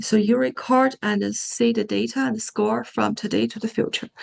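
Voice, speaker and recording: Speaking at a fairly slow pace, a woman is heard in a dry, close sound with no echo. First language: Japanese. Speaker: AI researcher presenter. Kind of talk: Q&A after a talk. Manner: halting, many fillers and repetitions.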